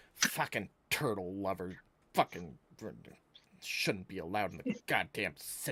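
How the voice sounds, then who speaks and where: A man uses a put-on character voice, fairly low in pitch, at a moderate pace. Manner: grumpy, cursing.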